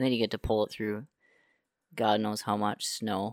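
A man's fairly low, monotone voice with an Upper Midwest accent at a moderate pace, dry and close with no echo, in a very clean recording over a silent background. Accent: Upper Midwest American. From northern Minnesota. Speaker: guest, outdoorsman. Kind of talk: casual chat.

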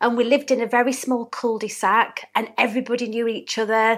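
With a Yorkshire accent, a woman speaks very fast in a warm tone, her fairly high pitch held to a flat monotone, on a very clean recording with a silent background. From Hatfield, near Doncaster, South Yorkshire. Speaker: small business owner, interview guest. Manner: warm, chatty.

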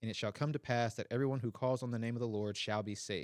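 A man uses an ordinary speaking voice with fairly even intonation. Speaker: co-host, layperson. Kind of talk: prayer and Bible reading, discussion. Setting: live in-person audience and online stream.

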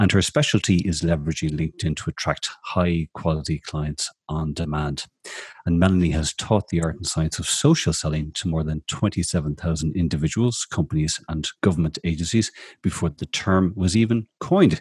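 A man with an Irish accent speaks at a very deep, low pitch, a little breathy. His intonation stays fairly even, and the sound is dry and close with no echo. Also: moderate pace. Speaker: radio host, social media strategist. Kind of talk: casual chat show interview; reading guest introduction.

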